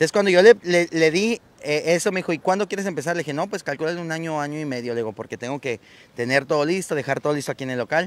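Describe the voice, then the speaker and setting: Talking at a very fast pace, a man uses a fairly high pitch and lively intonation, with a dry sound and no echo. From Mexico, Tabasco. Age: 30s. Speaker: clown performer; interviewee. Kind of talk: casual interview. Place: street. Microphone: handheld.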